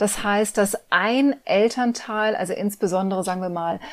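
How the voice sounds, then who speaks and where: Fairly even intonation marks this woman's medium-pitched voice, captured on a very clean recording with a silent background. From Germany, Cologne. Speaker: teacher and former actress. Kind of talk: interview.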